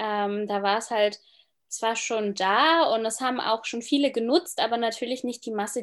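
A normal speaking voice at a moderate pace with ordinary pitch variation, over a quiet background. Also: woman. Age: 20s. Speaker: travel and lifestyle blogger. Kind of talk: interview, casual chat.

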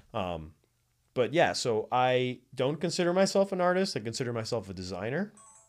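Over background music, a man with an American accent talks at a moderate pace in a medium pitch, his voice swinging very widely. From South Florida. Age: young. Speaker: nonprofit arts organization leader. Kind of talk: casual chat. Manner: animated.

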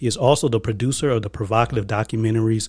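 The voice is dark, mellow and somewhat breathy, moving at a moderate pace with flat, monotone intonation. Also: man. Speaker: podcast co-host.

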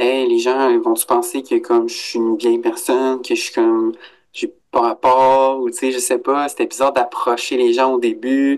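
The man has a Quebec accent. He speaks at a fairly slow pace. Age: 30s. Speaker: adult student in career counselling. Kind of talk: interview.

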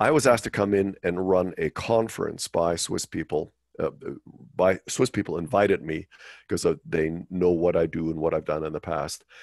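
A man's very deep, low voice with ordinary pitch variation, a moderate pace and a dry, close sound with no echo. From West Germany. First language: German. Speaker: finance executive and monetary reform advocate. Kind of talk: interview. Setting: video call. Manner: halting, frequent repetitions.

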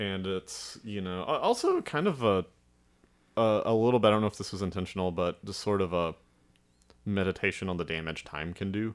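With a slight Southern US accent, a man talks at a fairly low pitch and with fairly even intonation. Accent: slight Southern drawl. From Alabama. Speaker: filmmaker. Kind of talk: casual chat.

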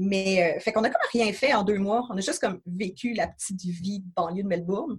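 This woman's voice is somewhat breathy and sits at a medium pitch with ordinary pitch variation. She talks at a fairly quick pace with hardly any pauses. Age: 30s. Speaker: traveller. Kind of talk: podcast interview. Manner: casual.

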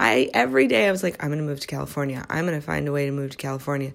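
A woman with an American accent is heard in a very clean recording with a silent background. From US Midwest. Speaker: psychiatric prescriber and wellness podcaster. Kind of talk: solo podcast monologue. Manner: casual, laughs often.

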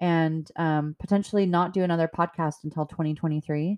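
A woman with an American accent and a fairly low pitch, ordinary pitch variation, a dry, close sound with no echo, and a quiet background. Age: 40s. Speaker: podcast host. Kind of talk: solo monologue podcast. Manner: frequent filler words.

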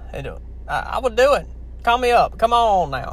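A man with a strong Southern US accent at a fairly slow pace. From Louisiana. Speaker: podcast host. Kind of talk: casual chat. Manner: rambling, halting.

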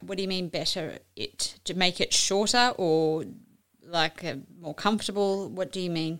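A woman with an ordinary speaking voice talks at a medium pitch and fairly slow pace, with ordinary pitch variation. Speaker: podcast host. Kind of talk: interview chat.

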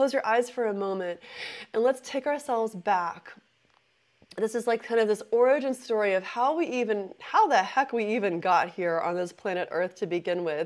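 A woman's plain, everyday voice, fairly high in pitch, at a moderate pace with lively intonation. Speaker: intuitive business mentor and podcast host. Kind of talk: live-streamed spiritual talk with chat interaction; guided visualization meditation on the origins of the universe, eyes closed. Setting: live online session on a meditation app.

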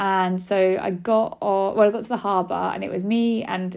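A woman's medium-pitched voice with a British accent and fairly even intonation. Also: very clean recording, silent background. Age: 30s. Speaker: podcast host, cancer survivor. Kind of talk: casual personal monologue. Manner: chatty, rambling with fillers.

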